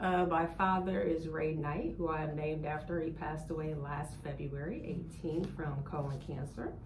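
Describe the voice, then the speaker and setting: With hardly any pauses, a woman in an American accent speaks at a very deep, low pitch with fairly even intonation, amid noticeable background noise and audible room echo. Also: moderate pace. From US Midwest, Columbus, Ohio. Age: 40s. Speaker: podcast and radio host, nurse. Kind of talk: casual chat.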